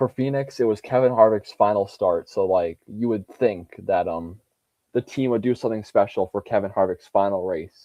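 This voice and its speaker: Moderate pace from a man with a fairly low pitch and ordinary pitch variation. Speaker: NASCAR fan streamer. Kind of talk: casual livestream chat. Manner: halting.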